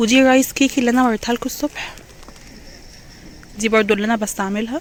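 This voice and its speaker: The speech moves at a fairly quick pace with ordinary pitch variation. Noticeable background noise is present. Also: woman. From Egypt, Alexandria. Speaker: vlogger. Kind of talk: vlog walkthrough. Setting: outdoors and supermarket. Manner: casual, with frequent hesitations.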